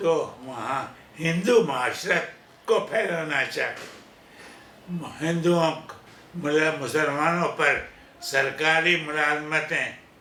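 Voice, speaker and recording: Over noticeable background noise, a man talks with a fairly high pitch and ordinary pitch variation. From India. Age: 80s+. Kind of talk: interview answer.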